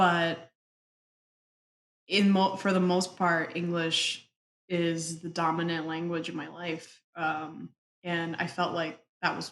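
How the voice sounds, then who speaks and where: A woman speaks very slowly with long, frequent pauses, her fairly low voice keeping a fairly even intonation. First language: Spanish. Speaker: construction executive. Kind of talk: interview conversation.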